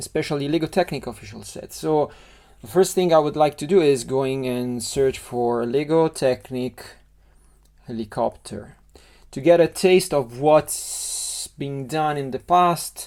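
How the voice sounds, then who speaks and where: In a very clean recording with a silent background, a man with an Italian accent and a dark, mellow, fairly high voice speaks at a fairly slow pace, with ordinary pitch variation and big swings in loudness. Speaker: LEGO model designer. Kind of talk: tutorial. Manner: halting.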